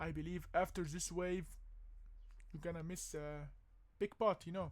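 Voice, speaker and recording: A man speaks with a non-native accent. His pitch is high. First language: not English. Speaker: crypto and stock commentator. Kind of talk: casual market analysis vlog. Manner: animated, emphatic; hesitant, many fillers.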